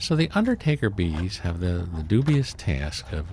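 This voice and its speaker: A somewhat breathy man's voice swings very widely in pitch. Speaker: beekeeper. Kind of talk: narrated tutorial. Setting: outdoors in cold weather. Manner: casual, with many fillers.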